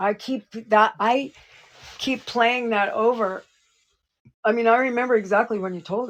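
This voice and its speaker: A woman with a fairly high pitch talks at a moderate pace with fairly even intonation, long, frequent pauses and big swings in loudness. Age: 60s. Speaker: psychic show co-host. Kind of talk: casual chat.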